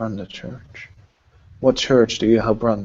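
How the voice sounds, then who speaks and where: A man's put-on character voice at medium pitch, at a fairly slow pace. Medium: actual play. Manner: commanding, interrogating.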